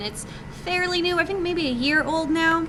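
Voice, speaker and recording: A woman speaks over noticeable background noise. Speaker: game developer presenting at a meetup. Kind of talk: presentation talk. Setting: live meetup audience. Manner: many fillers (um, uh).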